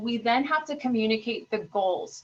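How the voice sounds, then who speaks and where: At a moderate pace, a woman talks in a high pitch. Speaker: school district administrator. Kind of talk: webinar presentation.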